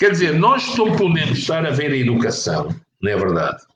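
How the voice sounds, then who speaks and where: A man with a somewhat breathy voice speaks at a moderate pace with lively intonation. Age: 60s. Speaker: professor. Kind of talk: interview. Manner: halting.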